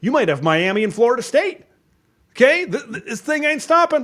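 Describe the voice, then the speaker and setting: A man with an ordinary speaking voice and an American accent, lively intonation and a fairly quick pace. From Wisconsin. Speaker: college football content creator. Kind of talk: casual chat.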